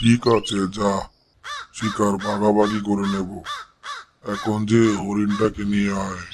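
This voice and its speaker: A man does a cartoonish character voice, fairly low in pitch. He delivers it in a monotone, flat intonation at a fairly slow pace. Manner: bossy, commanding.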